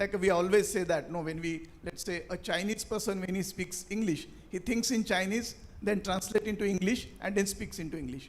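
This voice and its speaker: A man talks at a moderate pace with an Indian accent. His high pitch shows ordinary variation. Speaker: panelist, finance leader and author. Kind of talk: panel discussion.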